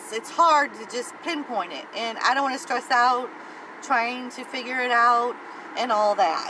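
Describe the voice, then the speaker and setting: At a high pitch and fairly slow pace, a woman speaks with ordinary pitch variation and big swings in loudness over noticeable background noise. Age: 50s. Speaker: weight-loss vlogger. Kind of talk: casual vlog monologue. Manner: hesitant, many fillers.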